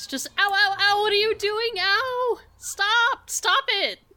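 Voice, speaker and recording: A put-on character voice, whiny and extremely high in pitch, moves at a fairly slow pace. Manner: whining, pleading.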